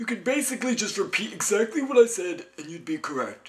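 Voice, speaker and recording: It's a cartoonish character voice at a fairly high pitch. The pace is very fast. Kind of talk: comedy sketch. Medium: puppet.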